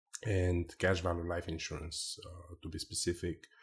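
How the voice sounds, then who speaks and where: With a Bulgarian accent, a man speaks at a moderate pace in a very deep, low, somewhat breathy voice with monotone, flat intonation. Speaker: life insurance agent. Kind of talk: interview.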